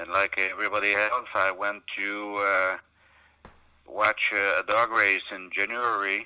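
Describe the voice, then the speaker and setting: A man with a fairly low pitch talks at a fairly slow pace in a monotone, flat intonation. His tone is bright and sharp, and the sound is dry and close with no echo. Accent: Quebec. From Quebec, Canada. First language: French. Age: 60s. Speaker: sled dog musher. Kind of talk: interview.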